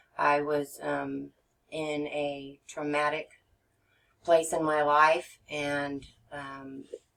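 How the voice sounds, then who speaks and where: With an American accent, a woman with a very deep, low pitch speaks at a very slow pace in a monotone, flat intonation, pausing long and often. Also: big swings in loudness. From Texas. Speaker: regression therapist. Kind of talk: podcast interview. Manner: halting, many fillers.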